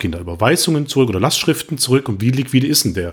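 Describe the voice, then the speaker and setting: A man's somewhat breathy, medium-pitched voice comes through in a very clean recording with a silent background. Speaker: podcast co-host, web developer. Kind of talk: casual tech discussion.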